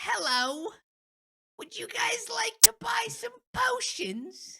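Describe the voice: A put-on character voice, high and creaky, swings very widely in pitch while moving at a very slow pace.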